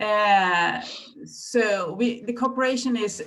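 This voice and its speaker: With a Swedish accent, a woman speaks using ordinary pitch variation. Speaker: librarian. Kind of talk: presentation. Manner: halting.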